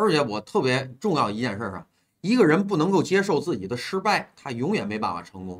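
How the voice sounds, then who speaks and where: A man with an animated tone, very wide pitch swings, vocal fry and a fairly quick pace. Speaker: livestream host taking call-ins. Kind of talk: casual chat. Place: home room. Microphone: earbuds.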